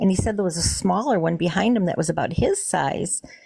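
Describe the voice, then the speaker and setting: A woman speaks at a fairly quick pace with a dark, mellow tone and vocal fry. Her pitch sits fairly low. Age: 60s. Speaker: witness caller, teacher. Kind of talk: live call-in interview telling a story. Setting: live stream call. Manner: halting.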